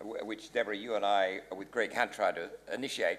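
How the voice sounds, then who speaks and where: A man speaks at a fairly quick pace with an Australian accent. Noticeable background noise can be heard. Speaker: panelist, business advisor. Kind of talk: panel discussion. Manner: fast.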